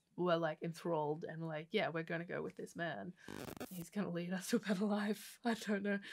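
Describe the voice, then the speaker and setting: A woman with an Australian accent at a fairly quick pace, fairly low in pitch with ordinary variation, over light background noise. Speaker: podcast co-host and theatre maker; podcast co-host. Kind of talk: casual chat. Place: studio. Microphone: studio mic.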